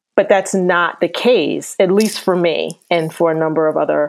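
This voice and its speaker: The woman speaks at a fairly low pitch. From US Midwest (Akron, Ohio). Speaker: data scientist and author. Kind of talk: podcast interview. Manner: animated.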